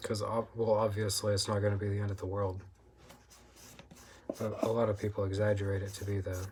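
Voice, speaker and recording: A soft-spoken man talks at a fairly quick pace in a fairly low, monotone, flat voice, broken by long, frequent pauses. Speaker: food review vlogger. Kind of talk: casual monologue. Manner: frequent throat clearing.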